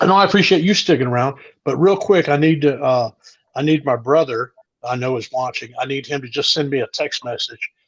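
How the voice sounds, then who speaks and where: An unremarkable speaking voice from a man with an American accent, fairly high in pitch, with ordinary pitch variation and a fairly quick pace. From US South. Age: 60s. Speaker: comedian. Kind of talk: casual chat. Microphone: phone mic.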